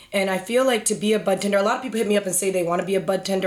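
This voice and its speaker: A very fast woman's voice at medium pitch with fairly even intonation, over noticeable background noise. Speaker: cannabis industry professional. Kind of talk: casual podcast chat.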